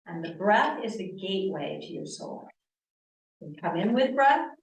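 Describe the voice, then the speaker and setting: There's audible room echo as a woman with an American accent speaks at a moderate pace, her pitch swinging very widely. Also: big swings in loudness. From US East Coast, Connecticut. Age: 60s. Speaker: yoga teacher. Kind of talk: lecture. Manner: loud; animated.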